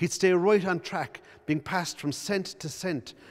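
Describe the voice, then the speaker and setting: A man with a Cork accent speaks in a high voice at a moderate pace with ordinary pitch variation, on a very clean recording with a silent background. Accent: Cork Irish. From Cork, Ireland. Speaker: playwright. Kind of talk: reading from his own play. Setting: arts centre.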